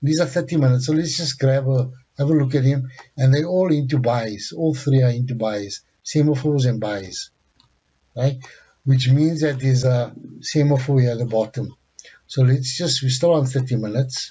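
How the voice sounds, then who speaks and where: A man speaks at a moderate pace with fairly even intonation. His voice is somewhat breathy. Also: medium pitch for a man. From South Africa. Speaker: forex trading instructor. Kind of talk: tutorial.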